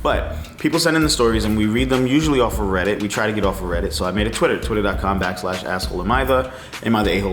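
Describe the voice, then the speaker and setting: A man with a very deep, low pitch races along at a very fast pace with hardly any pauses and very wide pitch swings, amid audible room echo and noticeable background noise. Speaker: podcast host reacting to reddit stories. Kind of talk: casual commentary and reading aloud.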